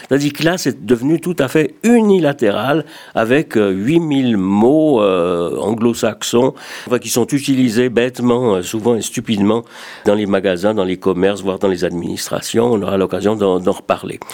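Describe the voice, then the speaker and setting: A man's normal speaking voice, medium in pitch, with lively intonation at a fairly slow pace. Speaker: retired radio journalist, association secretary general. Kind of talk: radio talk show discussion.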